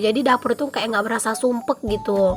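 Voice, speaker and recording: A woman at a fairly high pitch, talking at a very fast pace over noticeable background noise. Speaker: vlogger, village housewife. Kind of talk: vlog voice-over narration. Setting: home, recorded after dawn prayer. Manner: more subdued than usual, slightly quieter; casual chatty.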